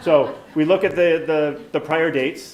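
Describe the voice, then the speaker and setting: A man speaks with an American accent. Audible room echo is present. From New York. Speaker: nursing professor. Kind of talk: conference talk. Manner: fast.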